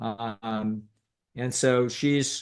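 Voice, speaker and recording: A man's fairly even intonation comes across over a quiet background. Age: 60s. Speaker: psychologist. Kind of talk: casual chat. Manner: halting.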